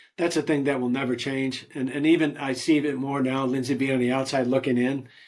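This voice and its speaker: At a fairly quick pace, a man speaks at medium pitch on a very clean recording with a silent background. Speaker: retired distribution industry executive. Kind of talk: podcast interview. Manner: fast; animated.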